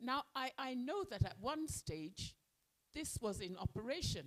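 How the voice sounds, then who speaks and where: Vocal fry runs through this woman's speech as her pitch swings very widely. She talks at a fairly slow pace in a dry, close sound with no echo. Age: 70s. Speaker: audience member at business forum. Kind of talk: public forum comment. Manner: halting.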